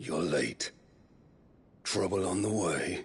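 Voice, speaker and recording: A man's put-on character voice, raspy and very deep. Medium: video game. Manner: haughty, theatrical.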